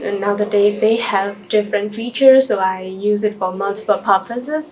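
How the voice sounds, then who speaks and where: Against noticeable background noise, a woman talks at a fairly quick pace with fairly even intonation. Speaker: doctor taking a mock English exam. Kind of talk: mock exam interview answers. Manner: hesitant with fillers.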